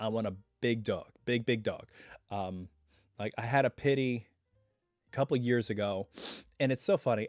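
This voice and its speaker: A man with ordinary pitch variation and long, frequent pauses, music in the background, and a dry, close sound with no echo. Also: medium pitch for a man, moderate pace. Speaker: YouTube reaction channel host. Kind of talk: casual live stream talk. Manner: relaxed, chatty.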